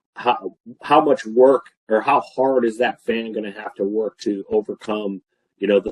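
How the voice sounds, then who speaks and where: This man's voice sits at a medium pitch with fairly even intonation. The sound is dry and close, with no echo. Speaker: filtration expert presenting webinar. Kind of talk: webinar Q&A. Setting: online webinar. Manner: fast.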